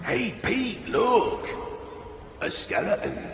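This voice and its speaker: A man does a put-on character voice at an extremely high pitch, with clear background noise and slight echo. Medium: machinima. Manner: teasing, jovial.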